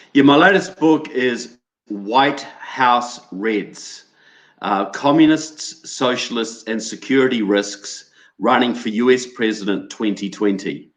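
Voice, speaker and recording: With a New Zealand accent, a man speaks very slowly at medium pitch, his intonation lively. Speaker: political researcher and author. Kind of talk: interview.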